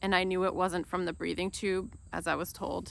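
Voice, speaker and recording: A woman talks at a fairly low pitch with vocal fry. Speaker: video blogger. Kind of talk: unscripted personal talk. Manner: soft-spoken.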